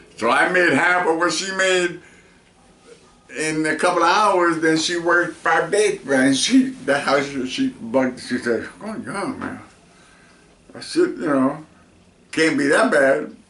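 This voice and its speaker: The speaker moves at a fairly slow pace with lively intonation and long, frequent pauses, over noticeable background noise and audible room echo. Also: man, high pitch for a man. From New York, Spanish Harlem. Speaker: veteran musician. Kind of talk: interview. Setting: in person.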